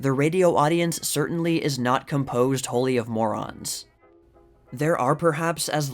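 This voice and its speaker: Over music in the background, a man speaks at a moderate pace with a fairly high pitch and fairly even intonation. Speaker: YouTube history channel host reading period articles. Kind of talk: reading a vintage opinion article aloud.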